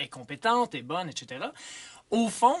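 A fairly quick pace drives the speech. The voice belongs to a man. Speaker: guest. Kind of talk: radio commentary. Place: studio. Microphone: studio mic.

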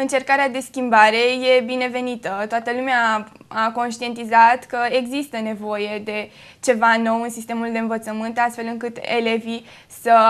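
At a fairly slow pace, a woman speaks with monotone, flat intonation. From Romania, Făgăraș area; Romania. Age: young. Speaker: high school graduate; guest. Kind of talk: TV interview. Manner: hesitant with fillers. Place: studio. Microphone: lapel.

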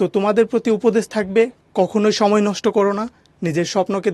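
A man with a high pitch speaks in a dry, close sound with no echo. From Bangladesh, Jamalpur. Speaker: university law student. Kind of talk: advice talk to students.

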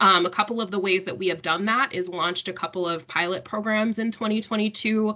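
A woman with a medium pitch and a bright, sharp tone speaks at a fairly quick pace with hardly any pauses and fairly even intonation over a quiet background. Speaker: workforce program manager. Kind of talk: panel discussion. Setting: video call. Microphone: video call.

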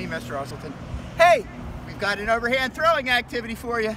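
Raising and projecting his voice, a man talks at a fairly quick pace with lively intonation, the sound dry with no echo and light noise in the background. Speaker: physical education teacher. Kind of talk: tutorial. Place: street.

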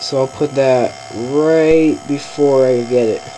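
Against light background noise, a man speaks quietly in a flat monotone. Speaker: video editing tutorial maker. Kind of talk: casual software tutorial narration. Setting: laptop fan noise in background. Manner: quiet, low volume. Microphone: webcam.

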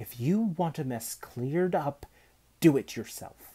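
Slowly and with lively intonation, a man does a put-on character voice that has a dark, mellow tone and a slightly husky edge. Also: fairly high pitch for a man.

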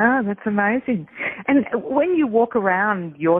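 With an Australian accent, a woman speaks at medium pitch and a fairly slow pace, her pitch swinging very widely. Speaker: radio host. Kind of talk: interview. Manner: animated.

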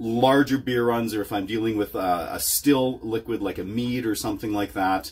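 This man's speech moves at a fairly quick pace. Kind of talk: tutorial. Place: home room.

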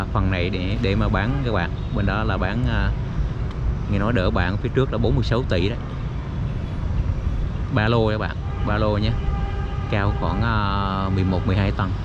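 Amid loud background noise, a man talks at a fairly slow pace with long, frequent pauses, the sound dry with no echo. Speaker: local vlogger giving a walking tour. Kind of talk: casual walking tour commentary. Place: waterside. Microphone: phone near.

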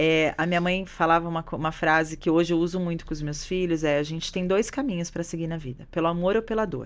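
A woman's very fast speech with hardly any pauses and ordinary pitch variation. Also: fairly low pitch for a woman. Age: 30s. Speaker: jiu-jitsu teacher and businesswoman; jiu-jitsu teacher. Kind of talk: casual chat. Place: studio. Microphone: studio mic.

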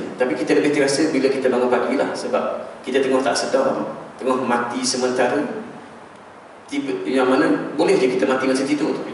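Amid strong room echo and light background noise, a man at medium pitch talks at a very fast pace with long, frequent pauses. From Malaysia. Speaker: religious preacher. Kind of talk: sermon. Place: church.

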